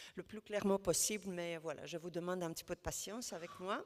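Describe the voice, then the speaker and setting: A woman speaks at a medium pitch with a non-native accent. Her intonation is monotone and flat. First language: not French (speaking French). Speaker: housing network representative. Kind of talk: panel discussion. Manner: halting, many hesitations.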